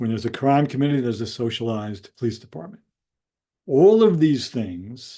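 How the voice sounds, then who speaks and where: A man with an American accent talks at a medium pitch in a dark, mellow tone with lively intonation. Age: 70s. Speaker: educator and author. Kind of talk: educational monologue. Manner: hesitant, many fillers.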